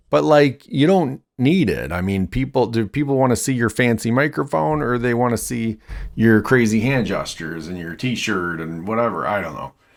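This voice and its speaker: A loud, medium-pitched man at a moderate pace, hardly any pauses, very wide pitch swings, on a very clean recording with a silent background. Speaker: YouTuber testing microphones. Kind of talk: casual demonstration. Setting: bedroom with reflective walls. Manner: halting, many fillers.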